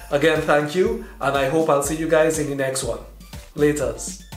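A man at a moderate pace, with audible room echo and faint music in the background. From Trinidad and Tobago. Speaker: video creator. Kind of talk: casual talk to camera.

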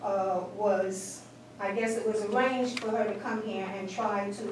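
Audible room echo and light background noise surround a woman whose intonation is fairly even. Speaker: resident giving public comment. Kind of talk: public comment at meeting. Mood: aggrieved, complaining. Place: meeting room. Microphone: camera far.

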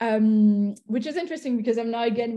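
In a quiet background, a woman with a somewhat breathy voice speaks at a very fast pace and with fairly even intonation. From Belgium / Italy. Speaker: venture capital investor. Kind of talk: interview. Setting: video call. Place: home room. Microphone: video call.

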